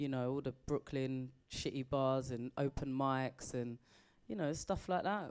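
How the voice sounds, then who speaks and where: A woman talks at a fairly slow pace in a very deep, low pitch. Her pitch varies in an ordinary way. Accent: British. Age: 40s. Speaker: comedian. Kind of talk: interview.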